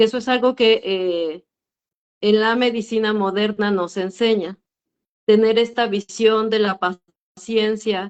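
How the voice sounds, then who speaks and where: A woman with a fairly high voice speaks very slowly, her intonation fairly even. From Mexico, urban area. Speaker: midwife. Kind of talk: panel discussion. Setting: video call.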